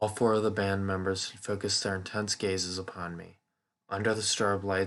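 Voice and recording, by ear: Reading aloud in a natural voice against a quiet background.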